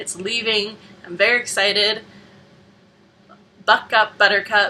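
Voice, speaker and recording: A woman at a medium pitch with monotone, flat intonation and a fairly slow pace. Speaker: vlogger. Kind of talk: casual vlog monologue.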